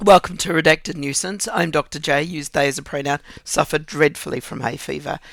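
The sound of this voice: At a very fast pace, a man puts on a croaky, raspy character voice with a fairly high pitch and ordinary pitch variation.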